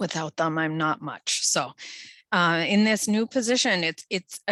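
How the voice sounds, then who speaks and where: Loud and fairly low-pitched, a woman speaks in a bright, sharp tone with ordinary pitch variation, the sound dry and close with no echo. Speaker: public health official. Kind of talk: presentation. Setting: video call.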